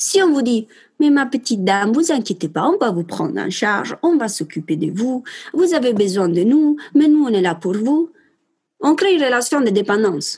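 With an Italian accent, a woman talks at a moderate pace in a high pitch that swings very widely. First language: Italian (speaking French). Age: 20s. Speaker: perinatal support worker. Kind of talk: interview.

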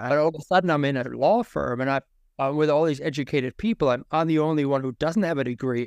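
Over a quiet background, a man with a fairly high pitch and ordinary pitch variation talks at a very fast pace, the sound dry and close with no echo. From Germany. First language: German. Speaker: marketing specialist, former non-traditional student. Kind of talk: interview, personal story.

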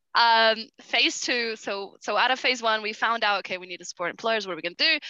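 With lively intonation, a woman talks at a very fast pace in a fairly high pitch. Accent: Brazilian. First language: Portuguese. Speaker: nonprofit justice program coordinator. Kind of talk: podcast interview. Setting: remote call while on holiday.

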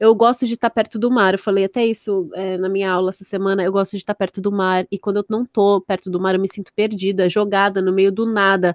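A woman talks at a very fast pace with monotone, flat intonation. Her medium-pitched voice has a dry, close sound with no echo. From Santos, São Paulo state, Brazil. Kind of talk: casual chat.

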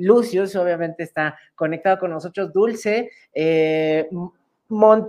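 A woman in a Mexican accent talks at a medium pitch with ordinary pitch variation. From Mexico. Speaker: online show host. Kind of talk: interview. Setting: video call.

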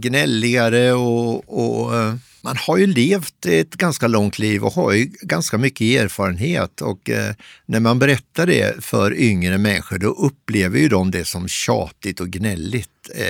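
A man's medium-pitched voice with vocal fry, lively intonation and a fairly slow pace, in a dry, close sound with no echo. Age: 60s. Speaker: columnist. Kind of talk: interview. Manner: halting.

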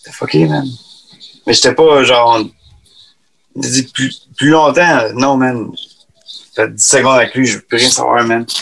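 With long, frequent pauses, a man speaks at a fairly slow pace and medium pitch, showing ordinary pitch variation and big swings in loudness. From Quebec. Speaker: singer. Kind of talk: casual chat.

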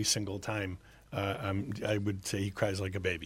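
Over a silent background in a very clean recording, a man talks at a fairly low pitch. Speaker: wine distributor. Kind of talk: radio interview. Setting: studio. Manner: halting.

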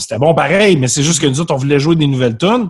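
With a normal speaking voice, a man talks at a fairly high pitch with lively intonation. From Quebec, South Shore of Montreal. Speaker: musician. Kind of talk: casual chat. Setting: video call.

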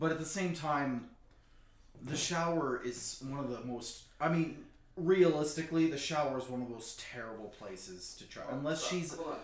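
The voice has ordinary pitch variation, and audible room echo surrounds it. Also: man, fairly high pitch for a man, moderate pace. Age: 30s. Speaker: podcast co-host. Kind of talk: casual chat.

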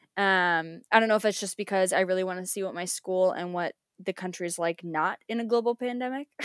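A woman with a normal speaking voice and an American accent talks at a fairly quick pace with a medium pitch. Her pitch varies in an ordinary way, in a dry, close sound with no echo. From United States. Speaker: school teacher. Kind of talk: casual chat. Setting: video call.

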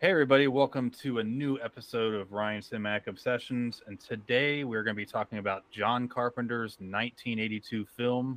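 A man speaks at medium pitch and a moderate pace in an ordinary speaking voice. The sound is dry and close, with no echo. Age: 30s. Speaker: podcast host. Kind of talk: casual chat.

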